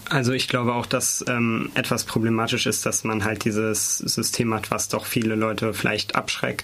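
Amid noticeable background noise, a man talks at a medium pitch and a moderate pace with monotone, flat intonation. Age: 20s. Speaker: student politician. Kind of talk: studio debate. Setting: studio.

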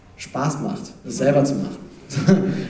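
Against noticeable background noise, a man speaks at a very slow pace with ordinary pitch variation. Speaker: slam poet and panelist. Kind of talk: panel discussion.

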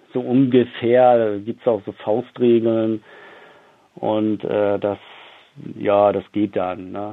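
The intonation stays fairly even. Delivery is very slow, broken by long, frequent pauses. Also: man, fairly low pitch for a man. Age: 40s. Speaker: publisher and author. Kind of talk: interview. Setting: phone call. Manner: halting.

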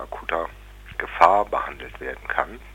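A man talks at a moderate pace. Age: 40s. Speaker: psychiatric patient pursuing legal complaint. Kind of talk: interview testimony. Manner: halting, frequent fillers.

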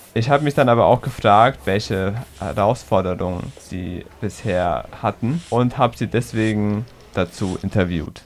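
A man with an ordinary speaking voice talks at a fairly slow pace and fairly low pitch, with ordinary pitch variation. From Heidelberg, Germany. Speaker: radio reporter. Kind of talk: narrated report and interview.

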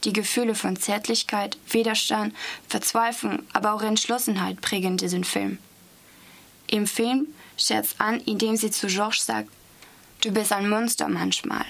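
Speaking fairly slowly with a French accent, a woman leaves long, frequent pauses. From Strasbourg, France. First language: French (speaking German). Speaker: language student. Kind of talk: reading aloud.

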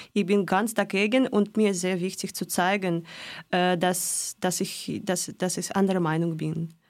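A woman's medium-pitched voice in a Russian accent, fairly slow and fairly even in intonation, on a very clean recording with a silent background. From Russia, Moscow. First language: Russian (speaking German). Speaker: volunteer organizer. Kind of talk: radio interview. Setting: studio. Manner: halting, non-fluent German.

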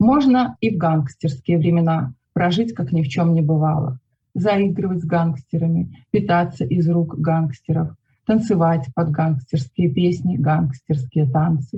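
A woman speaks at a fairly slow pace with a fairly low pitch, a somewhat breathy, dark, mellow tone, ordinary pitch variation and very even loudness, in a dry, close sound with no echo. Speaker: poet and writer. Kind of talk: poetry reading aloud, calm and measured, with brief spoken intro.

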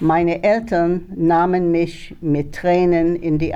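A woman talks at a very slow pace in a fairly low, dark and mellow voice. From Germany, Baden region, then France and Switzerland as a child. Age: 80s+. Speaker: Holocaust survivor and eyewitness. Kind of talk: reading aloud a prepared testimony. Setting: school assembly in front of pupils. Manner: halting, with hesitations.

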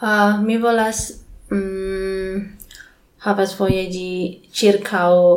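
Speaking with an Indonesian accent, a woman keeps a fairly even intonation at a medium pitch. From Indonesia, Bandung. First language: Indonesian (speaking German). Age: young. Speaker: English teacher. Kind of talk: interview. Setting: Esperanto congress in Germany. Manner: halting.

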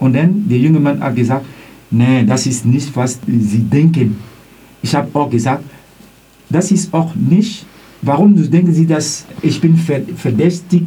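Over noticeable background noise and audible room echo, a man with a non-native accent talks at a very slow pace with lively intonation. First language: not German (speaking German). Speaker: student, eyewitness of racist incident. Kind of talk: testimony. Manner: halting.

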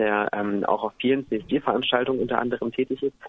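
There is noticeable background noise as a man speaks at a moderate pace. His intonation stays fairly even. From eastern Germany, Halle an der Saale. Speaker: singer. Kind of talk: radio interview. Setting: phone call.

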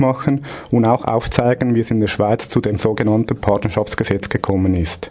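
Moderate-paced male speech with ordinary pitch variation against noticeable background noise. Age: 30s. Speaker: radio host, union official. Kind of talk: scripted radio segment.

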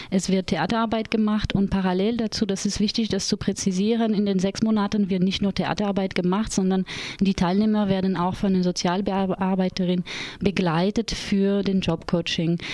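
A woman's dark, mellow voice at a medium pitch, in a flat monotone at a moderate pace, with very even loudness. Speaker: theatre educator and project leader. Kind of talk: radio interview. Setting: radio studio.

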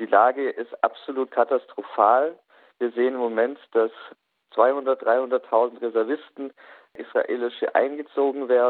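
At a fairly slow pace, a man talks in a medium pitch with monotone, flat intonation. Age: 20s. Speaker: youth association chair, law doctorate. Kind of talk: radio interview.

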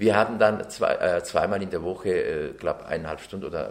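Talking at a fairly quick pace, a man speaks with a Turkish accent. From Turkey (Ankara/Çorum), then Bavaria from age nine. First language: Turkish (speaking German). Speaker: interviewee, naturalized citizen. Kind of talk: interview testimony.

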